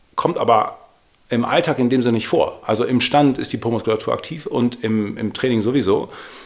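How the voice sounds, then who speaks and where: Noticeable background noise behind a fairly quick-talking man. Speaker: podcast co-host, fitness trainer. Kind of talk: casual chat.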